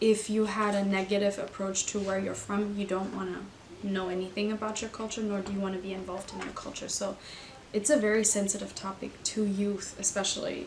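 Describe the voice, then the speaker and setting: A woman with a medium pitch speaks in a monotone, flat way over noticeable background noise. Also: fairly quick pace. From Germany. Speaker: youth coordinator. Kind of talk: interview.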